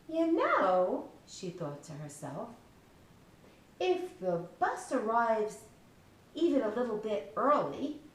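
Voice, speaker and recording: A woman with a fairly high pitch speaks very slowly, with long, frequent pauses, very wide pitch swings and big swings in loudness, against noticeable background noise. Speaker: children's book author reading her story aloud. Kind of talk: children's storybook reading.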